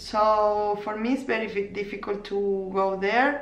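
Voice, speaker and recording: A woman speaks in a medium pitch with a non-native accent. Audible room echo surrounds her voice. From Argentina, Córdoba. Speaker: knitting podcaster and crochet teacher. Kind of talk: casual vlog podcast. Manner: halting, many fillers and restarts.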